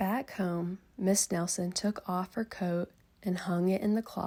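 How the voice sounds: The delivery is a natural reading voice with fairly even intonation.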